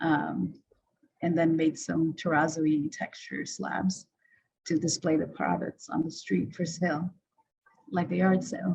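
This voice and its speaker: With long, frequent pauses, a woman speaks at a fairly low pitch with vocal fry and ordinary pitch variation, over light background noise. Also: fairly slow pace. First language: not English. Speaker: designer presenting their work. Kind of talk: presentation. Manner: hesitant, many fillers. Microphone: video call.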